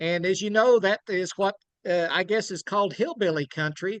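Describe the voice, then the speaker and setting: A man with an Oklahoma accent speaks at a high pitch with ordinary pitch variation, in a dry, close sound with no echo. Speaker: children's book author. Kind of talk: book talk. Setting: video call.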